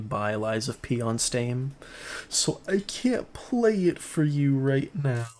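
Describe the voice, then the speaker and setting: A quiet male voice on a very clean recording with a silent background. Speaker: gaming streamer. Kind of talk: casual chat. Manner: quiet, holding volume back.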